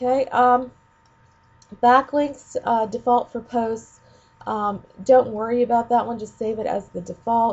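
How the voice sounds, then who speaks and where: A woman speaks in a fairly high, somewhat breathy voice. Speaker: ed tech trainer for teachers. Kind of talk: screencast tutorial. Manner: casual with many fillers.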